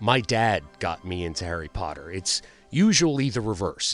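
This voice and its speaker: With music in the background, a man speaks in an animated tone at a fairly low pitch. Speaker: gaming youtuber. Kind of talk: video reaction commentary. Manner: stuttering.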